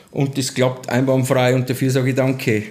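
At a moderate pace, a man talks in a fairly high pitch. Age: 40s. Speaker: construction site manager. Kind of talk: casual interview. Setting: hotel heating plant.

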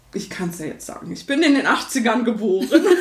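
A woman's voice moves through very wide pitch swings in a room with audible echo. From Berlin, Germany. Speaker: singer and vocal coach. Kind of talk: interview. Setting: home studio.

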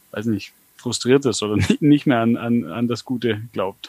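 A man talks at a medium pitch and a moderate pace with ordinary pitch variation. The sound is dry and close, with no echo. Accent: Swabian. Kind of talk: casual chat. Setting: video call.

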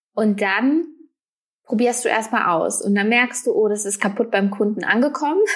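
Somewhat breathy and fairly high, a woman's voice moves at a moderate pace with very even loudness. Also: ordinary pitch variation. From Germany, near Paderborn (Westphalia). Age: 20s. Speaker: online shop owner and mother. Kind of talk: casual interview.

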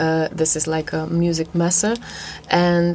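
Someone speaks at a fairly slow pace with a Polish accent. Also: woman. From Poland. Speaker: jazz singer. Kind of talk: interview. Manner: halting.

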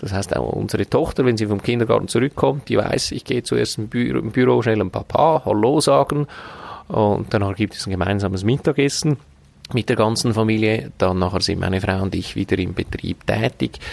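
Recorded with a dry, close sound with no echo, a man speaks at a fairly quick pace with a fairly low pitch and vocal fry. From Switzerland, canton Glarus (Braunwald). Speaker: hotel owner and manager. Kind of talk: podcast interview. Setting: outdoors on a restaurant terrace.

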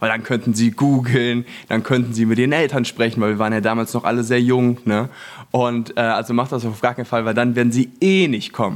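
A man with a plain, everyday voice speaks at a fairly quick pace, medium in pitch with fairly even intonation. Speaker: branding entrepreneur, former network marketer. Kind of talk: casual chat. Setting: apartment in Los Angeles.

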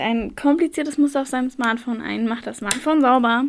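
A high-pitched woman speaks with fairly even intonation. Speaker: podcast co-host. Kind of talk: casual educational podcast chat.

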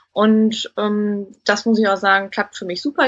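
The woman's voice sits fairly high. She talks very slowly. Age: 30s. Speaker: recruitment consultant, coaching client. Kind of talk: interview testimony.

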